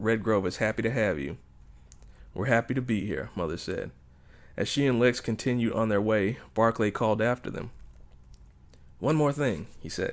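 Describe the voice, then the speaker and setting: On a very clean recording with a silent background, a man speaks at a medium pitch. His pace is moderate and his pitch variation ordinary. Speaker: author reading his own novel. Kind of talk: audiobook narration.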